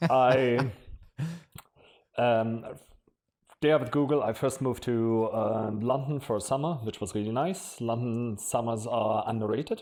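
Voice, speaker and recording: A man in a German accent, medium-pitched, with fairly even intonation, a fairly slow pace and long, frequent pauses. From Germany. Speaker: marketing executive. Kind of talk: podcast interview.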